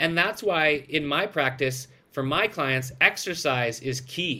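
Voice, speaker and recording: Pitched fairly high for a man, his bright, sharp voice moves at a fairly slow pace in a very clean recording with a silent background. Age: 40s. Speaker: microdose company founder. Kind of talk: interview. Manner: animated.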